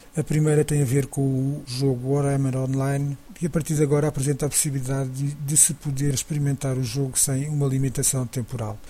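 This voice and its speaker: A man talks at a fairly quick pace with hardly any pauses. His fairly high, somewhat breathy voice has monotone, flat intonation. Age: 40s. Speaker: podcast host. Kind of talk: solo podcast commentary. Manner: halting, with repetitions.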